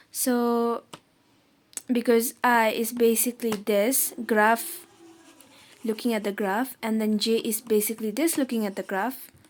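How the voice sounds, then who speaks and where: In a Nepali accent, a woman speaks fairly slowly at a fairly high pitch, with fairly even intonation and long, frequent pauses. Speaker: math tutor. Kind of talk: tutorial. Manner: casual, informal.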